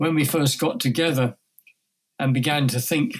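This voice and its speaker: A man at a fairly slow pace, somewhat breathy. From England. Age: 70s. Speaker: speaker and writer on sustainability. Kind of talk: interview conversation. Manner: halting, many fillers and restarts.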